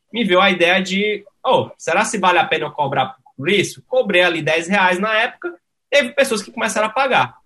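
Raising and projecting his voice, a man speaks at a moderate pace with a high pitch, a bright, sharp tone and lively intonation. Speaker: tech startup CEO. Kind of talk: interview.

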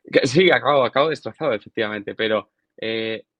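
Heard in a dry, close sound with no echo, a man with a normal speaking voice talks at a moderate pace with ordinary pitch variation. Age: 20s. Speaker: long drive golfer and physiotherapist. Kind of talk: interview.

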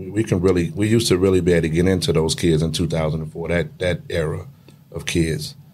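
Amid noticeable background noise, a man with a very deep, low pitch speaks at a moderate pace with ordinary pitch variation. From Chicago, west side. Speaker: retired high school basketball coach. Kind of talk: casual interview chat.

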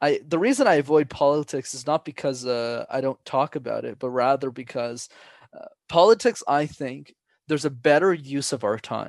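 Delivered at a moderate pace in a normal speaking voice, the speech shows ordinary pitch variation and big swings in loudness. The sound is dry and close with no echo, over a quiet background. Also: man, fairly high pitch for a man. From Montreal, Canada. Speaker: public speaking coach. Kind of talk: casual chat.

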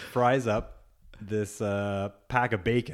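A man speaking at a very slow pace. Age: 40s. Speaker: podcast co-host. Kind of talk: casual chat.

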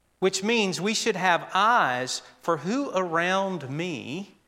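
A bright, sharp tone with an American accent and ordinary pitch variation, recorded very cleanly against a silent background. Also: man. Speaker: pastor. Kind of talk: sermon. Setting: church.

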